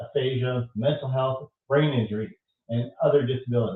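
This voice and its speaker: Delivered at a moderate pace, an ordinary speaking voice carries fairly even intonation. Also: man. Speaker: stroke survivor, podcast host. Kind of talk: interview host, casual talk.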